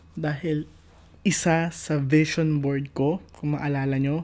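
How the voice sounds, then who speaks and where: A man speaks with monotone, flat intonation at a fairly high pitch. His tone is dark and mellow. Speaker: vlogger. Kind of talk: casual vlog. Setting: at home in kitchen at night. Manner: quieter than usual.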